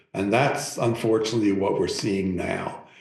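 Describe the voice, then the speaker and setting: Someone with an American accent talks at a fairly slow pace amid audible room echo. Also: man. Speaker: professor. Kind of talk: public talk Q&A.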